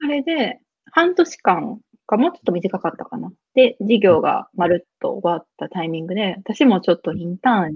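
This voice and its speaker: A woman speaks at a moderate pace in a medium pitch, her voice somewhat breathy, with very wide swings in pitch and big shifts in loudness. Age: 20s. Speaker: business lead at a startup. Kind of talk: casual interview. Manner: laughs often.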